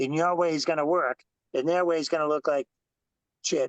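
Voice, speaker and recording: A fairly quick pace, dry and close in sound with no echo. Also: man. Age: 60s. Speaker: motorcycle and stock car racer. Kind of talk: casual chat. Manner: animated.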